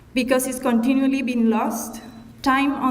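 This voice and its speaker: A woman speaks in a high, monotone voice with flat intonation. Noticeable background noise and audible room echo fill the recording. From Chile. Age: 30s. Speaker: commemoration speaker. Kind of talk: prepared speech.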